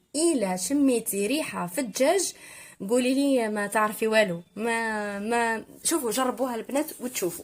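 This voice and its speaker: With an Algerian accent, a woman speaks at a fairly slow pace in a fairly high voice with lively intonation, on a very clean recording with a silent background. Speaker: cooking youtuber. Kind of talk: cooking tutorial voiceover. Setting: recorded voiceover. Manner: halting with fillers.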